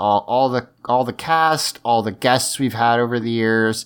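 Here is a man with an ordinary speaking voice, pitched in the medium range. He talks at a fairly quick pace on a very clean recording with a silent background. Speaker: podcast host, recorded intro.

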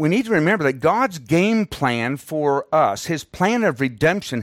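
A man with a fairly high pitch speaks at a moderate pace with very wide pitch swings. The recording is very clean, with a silent background. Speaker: missionary and Bible teacher. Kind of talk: sermon. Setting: church, visiting Perth, Australia. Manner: formal, teaching.

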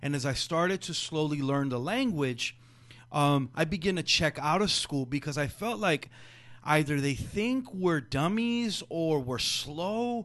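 Using lively intonation, a man with a Spanish accent speaks at a fairly slow pace. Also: fairly high pitch for a man. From Jalisco, Mexico. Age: 40s. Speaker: educator and school founder. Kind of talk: interview conversation. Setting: foundation conference room.

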